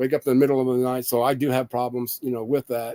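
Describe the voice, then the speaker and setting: A dark, mellow tone with fairly even intonation, in an American accent. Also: man, dry, close sound with no echo. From Indiana, US Midwest. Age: 50s. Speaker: patient sharing illness experience. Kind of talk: casual monologue. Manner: halting.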